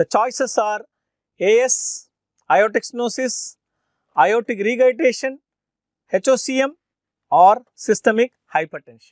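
A man talks at an extremely high pitch and a fairly slow pace, with long, frequent pauses. The sound is dry with no echo, and the background is quiet. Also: ordinary pitch variation. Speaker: medical teacher. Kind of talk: lecture.

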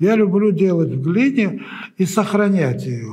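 A man with a dark, mellow tone speaks at a fairly slow pace with lively intonation. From Uzbekistan. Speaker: sculptor; interviewee. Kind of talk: interview. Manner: halting.

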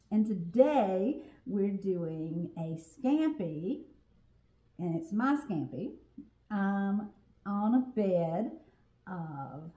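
A somewhat breathy woman at a very slow pace, long, frequent pauses and big swings in loudness, with audible room echo. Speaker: home cook host. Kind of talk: casual cooking tutorial chat. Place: kitchen. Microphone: camera far.

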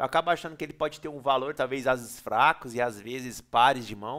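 A man's animated tone at a moderate pace, on a very clean recording with a silent background. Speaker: poker player and video creator. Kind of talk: poker tournament analysis tutorial. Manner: casual, slangy and animated.

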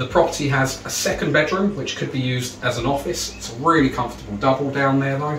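A man at a very fast pace, with audible room echo and light background noise. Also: hardly any pauses. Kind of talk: property tour presentation. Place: home room.

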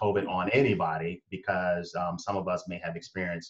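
Over a quiet background, a somewhat breathy man talks at a moderate pace. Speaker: talk show guest. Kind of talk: conversational opinion talk. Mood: earnest, reflective. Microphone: video call.

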